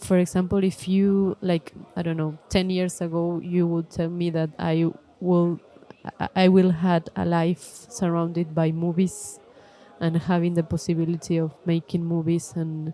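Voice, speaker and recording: Over noticeable background noise, a woman speaks at a fairly slow pace. Her fairly low voice is monotone and flat. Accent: non-native. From Argentina, Córdoba. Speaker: film director. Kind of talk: live podcast interview. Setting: stage with audience at film festival. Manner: halting, many fillers.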